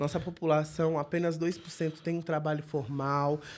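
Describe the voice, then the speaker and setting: A woman with a very deep, low pitch speaks at a moderate pace in a monotone, flat intonation. The recording is very clean, with a silent background. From Northeast Brazil. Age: 30s. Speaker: city councillor. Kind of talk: interview. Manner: halting.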